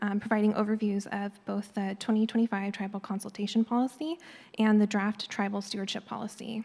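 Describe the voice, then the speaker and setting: A somewhat breathy woman's voice at medium pitch, with monotone, flat intonation. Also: fairly quick pace. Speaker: government environmental scientist. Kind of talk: formal presentation. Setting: public board meeting in auditorium.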